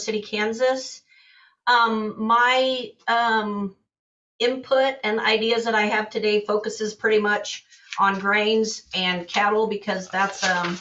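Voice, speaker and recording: A woman with a normal speaking voice and a fairly high pitch talks at a fairly slow pace with fairly even intonation. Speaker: commodity broker. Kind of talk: market outlook presentation.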